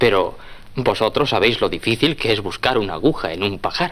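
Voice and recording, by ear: A man speaks at a fairly quick pace with a fairly bright tone. His intonation is lively. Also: fairly low pitch for a man.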